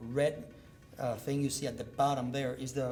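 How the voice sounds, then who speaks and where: With a Cuban accent and a fairly high pitch, a man speaks amid audible room echo and music in the background. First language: Spanish. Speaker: neurosurgeon. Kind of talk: medical lecture. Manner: loud.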